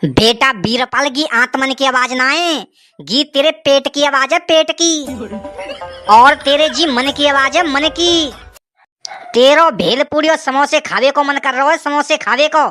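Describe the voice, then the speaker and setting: A woman uses a cartoonish character voice at a moderate pace. Music plays in the background. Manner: pompous, scolding.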